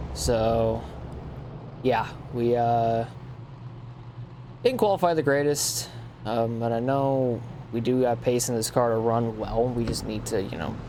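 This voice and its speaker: Over noticeable background noise and audible room echo, a man at medium pitch talks at a fairly slow pace with fairly even intonation and long, frequent pauses. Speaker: sim racing gamer. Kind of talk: gameplay commentary. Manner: casual, filler-heavy.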